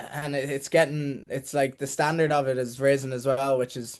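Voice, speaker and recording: This man talks at a moderate pace in a Dublin accent, his intonation fairly even. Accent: Dublin Irish. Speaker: rugby player. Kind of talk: podcast interview.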